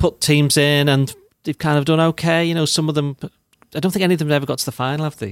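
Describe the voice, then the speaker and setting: A man's fairly high voice at a very fast pace, dry and close with no echo, on a very clean recording with a silent background. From northern England, St Helens. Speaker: football journalist. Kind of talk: casual chat.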